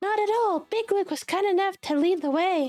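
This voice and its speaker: A woman uses a squeaky, put-on character voice at a moderate pace, her loudness very even. Music plays in the background. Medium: virtual streamer. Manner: polite, measured.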